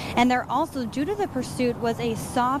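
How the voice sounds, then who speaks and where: A woman speaking at a fairly quick pace over noticeable background noise. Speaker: TV news reporter. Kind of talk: live TV news report.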